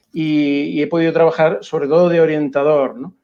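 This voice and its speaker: Speaking with a Canarian accent, a man uses a fairly high pitch and a dark, mellow tone, with monotone, flat intonation at a fairly slow pace over a quiet background. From Canary Islands (Las Palmas). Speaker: education researcher and school counselor. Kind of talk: interview.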